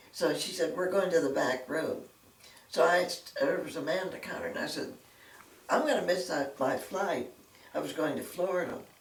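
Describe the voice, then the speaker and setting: A woman with an American accent speaks at a fairly low pitch, leaving long, frequent pauses. The room echo is audible and background noise is noticeable. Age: 90s. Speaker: retired secretary. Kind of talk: interview storytelling.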